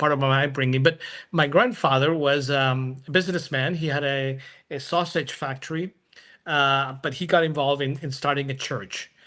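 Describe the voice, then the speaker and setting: Very clean recording with a silent background of a man with a bright, sharp tone, fairly high pitch, fairly even intonation and a moderate pace. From Venezuela. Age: 60s. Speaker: church planting strategist. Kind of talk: interview. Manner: halting, many fillers.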